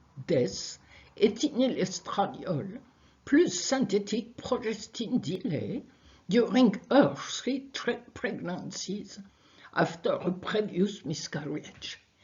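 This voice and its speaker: A woman with a French accent speaks at a very slow pace. Her pitch swings very widely. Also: medium pitch for a woman. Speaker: research scientist. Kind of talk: conference talk. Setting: video call.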